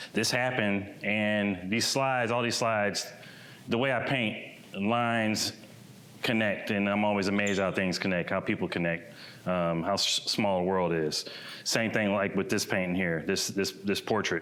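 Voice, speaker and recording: At a moderate pace, a man speaks with a fairly low pitch, fairly even intonation and very even loudness. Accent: American. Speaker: painter and muralist. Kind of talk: presentation talk. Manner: casual, conversational.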